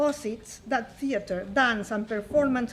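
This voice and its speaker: Speaking in a Spanish accent, a woman with a fairly high pitch shows ordinary pitch variation. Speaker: conference presenter. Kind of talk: academic conference talk. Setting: conference stage with audience. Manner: formal.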